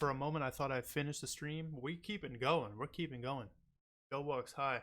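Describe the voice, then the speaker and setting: With an unremarkable speaking voice, a man talks at a fairly quick pace, his pitch fairly high with ordinary variation. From Canada. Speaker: streamer reacting to music videos. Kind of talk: casual livestream chat. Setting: livestream.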